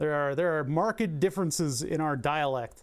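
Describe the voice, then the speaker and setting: Someone speaks in a Philadelphia accent on a very clean recording with a silent background. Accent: mild Philadelphia. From US Northeast, Philadelphia. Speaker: electronics repair streamer. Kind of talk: live stream teardown commentary. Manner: casual, thinking aloud.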